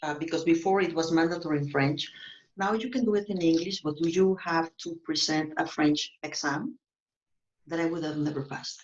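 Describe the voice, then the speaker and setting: A normal speaking voice, a woman at a fairly low pitch, with ordinary pitch variation and a moderate pace. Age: 50s. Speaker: real estate agent. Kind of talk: interview.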